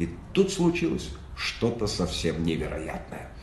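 The speech moves at a very slow pace. Room echo is audible. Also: man. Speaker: audiobook reader. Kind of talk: children's story reading. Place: home room. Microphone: phone near.

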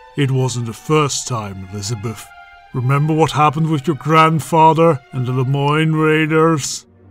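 A man's voice over clear music in the background. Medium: machinima. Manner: insidious, urging.

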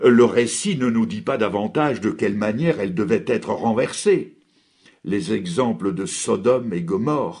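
A man with a dark, mellow tone talks at a very slow pace, his pitch swinging very widely. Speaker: preacher. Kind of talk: sermon on a biblical text, preached with solemn rhetorical questions and exhortation. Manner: formal; earnest, solemn and declamatory.

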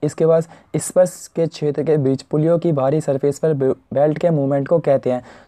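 Against a quiet background, a man with a fairly high pitch and dark, mellow tone talks at a moderate pace with fairly even intonation. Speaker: technical exam tutor. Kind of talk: online exam lesson.

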